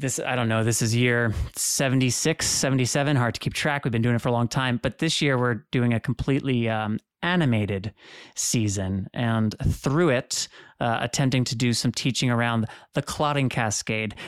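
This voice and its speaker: A man with a plain, everyday voice, medium pitch, ordinary pitch variation and very even loudness at a moderate pace, dry and close with no echo on a very clean recording with a silent background. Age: 30s. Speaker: hemophilia advocate and podcast host. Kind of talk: interview.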